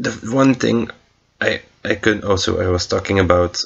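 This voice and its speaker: Speaking fairly slowly, a man with a non-native accent has a very deep, low voice. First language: not English. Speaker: movie reviewer. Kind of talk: casual film review monologue. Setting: recorded late at night, past midnight. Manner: halting, many fillers and restarts.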